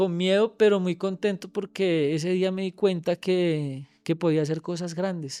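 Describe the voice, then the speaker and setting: A man with a high pitch and a Bogotá accent, monotone, flat intonation, and music in the background. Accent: Colombian, Bogotá region. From Cundinamarca, Colombia. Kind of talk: podcast interview answer.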